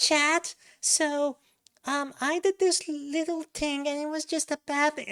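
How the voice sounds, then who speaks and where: A female-sounding put-on character voice, high and breathy, speaks at a fairly slow pace in a monotone, flat intonation. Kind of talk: chatty, streamer style. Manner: breathy, girly.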